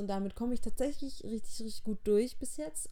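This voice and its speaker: A high-pitched woman's voice with a dark, mellow tone and ordinary pitch variation. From southern Germany, near Heilbronn. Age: 20s. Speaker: podcaster. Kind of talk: personal monologue.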